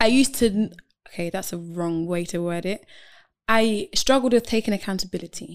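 This woman talks at a fairly quick clip in a London accent. Her pitch moves in an ordinary way. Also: medium pitch for a woman, very clean recording, silent background. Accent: London (multicultural London English). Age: 20s. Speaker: model and student. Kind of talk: casual chat. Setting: studio.

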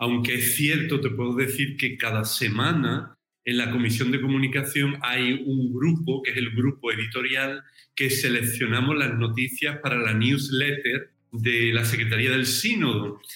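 A plain, everyday voice from a man at medium pitch, fairly slow, with fairly even intonation and very even loudness. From southern Spain, Cádiz (Andalusia). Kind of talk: interview conversation.

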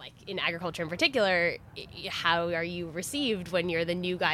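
A Californian accent against noticeable background noise. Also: woman. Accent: Californian American. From US, California (Silicon Valley). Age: young. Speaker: agtech worker. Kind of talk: casual chat.

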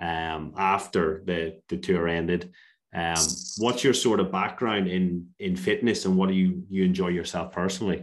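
Speaking in an Irish accent, a man with a very deep, low pitch talks at a moderate pace with fairly even intonation. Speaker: podcast host, fitness coach. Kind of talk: casual interview.

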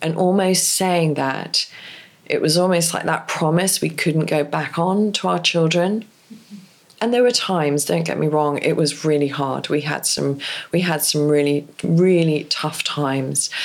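A woman with an English accent speaks fairly slowly with ordinary pitch variation. Her pitch is very deep and low. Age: 50s. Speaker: divorce coach. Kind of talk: interview.

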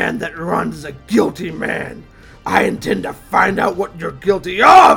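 A man growls in a put-on character voice at a high pitch and a fairly slow pace. Clear music plays in the background. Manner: stern, threatening.

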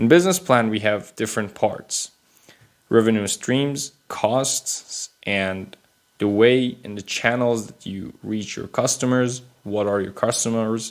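A man with a Persian accent talks at a medium pitch with ordinary pitch variation. His loudness swings widely. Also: fairly slow pace. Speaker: podcast host. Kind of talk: solo explainer monologue. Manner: unscripted, with hesitations.

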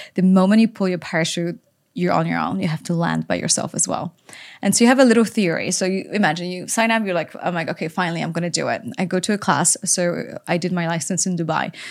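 A woman with a Polish accent, fairly low in pitch with ordinary pitch variation, at a very fast pace on a very clean recording with a silent background. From Poland. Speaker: author and influencer. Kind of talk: casual interview conversation. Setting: studio.

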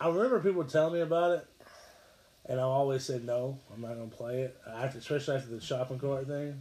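A man's ordinary speaking voice moves fairly quickly, keeping a medium pitch and fairly even intonation. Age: 30s. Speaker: gaming podcast host. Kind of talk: casual chat.

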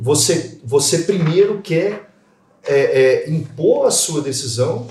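Speaking very slowly, a man with a fairly high pitch uses lively intonation and big swings in loudness. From Minas Gerais, Brazil. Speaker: lawyer and podcast host. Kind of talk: casual panel discussion.

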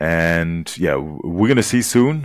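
This man speaks very slowly in a very deep, low voice with a German accent. His pitch varies in an ordinary way, and the recording is very clean with a silent background. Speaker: podcast host. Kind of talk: interview with live translation.

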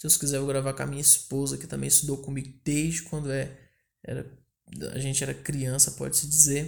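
A man speaks in a somewhat breathy voice. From Brazil, northern Goiás (Porangatu). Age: 20s. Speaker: podcast host. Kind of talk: casual monologue. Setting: at home.

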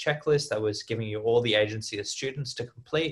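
This man talks at a fairly quick pace with a medium pitch. His voice is somewhat breathy, and his intonation is fairly even. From Australia and Hyderabad, India. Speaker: podcast co-host. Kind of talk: casual chat.

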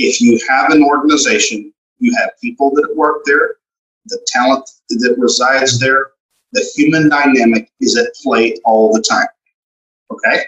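An American accent at a moderate pace, in dry, close sound with no echo. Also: man. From Texas, Galveston. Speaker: commercial banker. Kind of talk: interview.

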